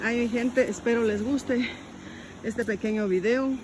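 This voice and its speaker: A woman speaks over noticeable background noise. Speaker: rural vlogger. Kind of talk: casual vlog walkthrough. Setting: outdoors in fields by a stream.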